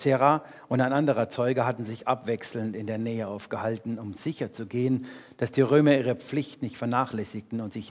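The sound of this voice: Reading in an unforced voice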